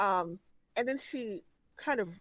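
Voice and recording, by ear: The intonation here is lively. The voice reads aloud naturally.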